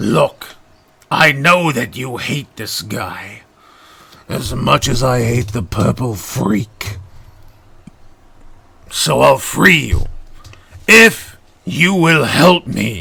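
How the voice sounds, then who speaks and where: A man does a raspy, put-on character voice at medium pitch. He talks at a very slow pace with long, frequent pauses. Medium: solo performance. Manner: scheming, impatient.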